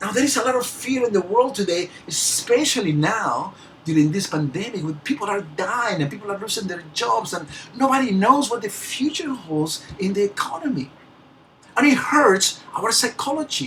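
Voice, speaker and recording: Over noticeable background noise, a speaker with a non-native accent talks at a moderate pace. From Peru. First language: Spanish. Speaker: motivational speaker. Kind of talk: motivational talk. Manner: halting, with word repetitions.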